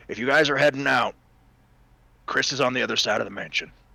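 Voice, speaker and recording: A man talks very fast in a put-on character voice that is raspy, medium in pitch, and fairly even in intonation. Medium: actual play.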